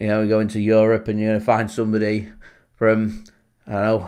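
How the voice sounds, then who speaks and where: Talking at a fairly quick pace with a Lancashire accent, a man is heard in a very clean recording with a silent background. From Lancashire, northern England. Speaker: football fan channel host. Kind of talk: live match watchalong commentary. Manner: casual, chatty.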